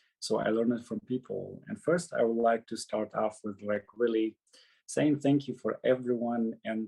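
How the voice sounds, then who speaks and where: Over a quiet background, a man with a Syrian accent speaks at a moderate pace in a dark, mellow voice of medium pitch. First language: Arabic. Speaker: former refugee speaker. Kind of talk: personal testimony. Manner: halting.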